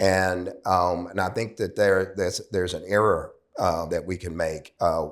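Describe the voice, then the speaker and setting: A man speaks with a very deep, low pitch. His pace is fairly slow and his intonation fairly even. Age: 70s. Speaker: addiction recovery professional. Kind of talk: interview conversation. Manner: halting, many fillers.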